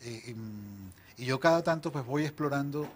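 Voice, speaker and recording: A man's somewhat breathy voice moves at a fairly slow pace with ordinary pitch variation over light background noise. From Venezuela, Barquisimeto (Lara) and Caracas; Venezuela. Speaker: novelist; interviewee. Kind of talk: interview. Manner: halting, frequent repetitions. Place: studio. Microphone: lapel.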